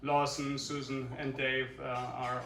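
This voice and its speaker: Recorded with audible room echo and noticeable background noise, a man with a German accent speaks at a fairly high pitch. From Germany, Kiel. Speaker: yacht club race director. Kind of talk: self-introduction talk. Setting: club luncheon with audience. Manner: halting, many fillers.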